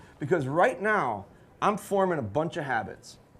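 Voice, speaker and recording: A loud male voice with very wide pitch swings. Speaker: dog trainer. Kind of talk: live seminar demonstration. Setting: live audience, about fifty people. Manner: fast.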